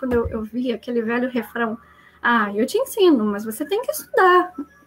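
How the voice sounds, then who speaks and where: A woman talks at a fairly quick pace with a high pitch. Noticeable background noise runs underneath. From Brazil. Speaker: IT professional. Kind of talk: casual chat.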